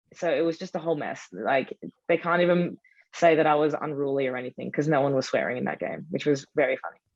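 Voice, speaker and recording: Speaking very fast in an Australian accent, this woman has a very deep, low voice with ordinary pitch variation. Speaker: football supporter group leader. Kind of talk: panel discussion. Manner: animated.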